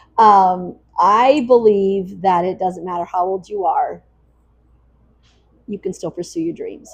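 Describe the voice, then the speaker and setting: A woman with medium pitch and ordinary pitch variation speaks at a fairly slow pace, with long, frequent pauses and big swings in loudness. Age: 60s. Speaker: bakery owner. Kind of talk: interview.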